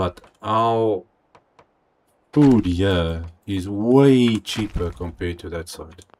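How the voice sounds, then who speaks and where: Very slow speech with big swings in loudness and ordinary pitch variation. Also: man, fairly low pitch for a man. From South Africa. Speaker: gaming streamer. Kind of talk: live stream gameplay commentary. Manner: casual, chatty.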